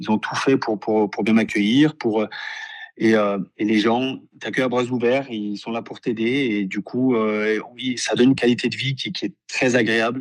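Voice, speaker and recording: The voice moves at a moderate pace. Its intonation stays fairly even. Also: man, medium pitch for a man. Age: 30s. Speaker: professional footballer. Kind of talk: interview. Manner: halting, many repetitions and fillers.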